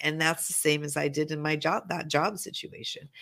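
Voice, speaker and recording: In a very clean recording with a silent background, a woman with an American accent speaks at a fairly low pitch in a bright, sharp tone. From Montana, rural US. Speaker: business negotiation strategist. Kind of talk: casual interview chat.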